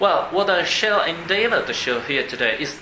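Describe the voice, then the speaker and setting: Audible room echo and noticeable background noise around a man's moderately paced speech. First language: Italian. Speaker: psychiatrist. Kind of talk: conference talk read aloud. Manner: formal.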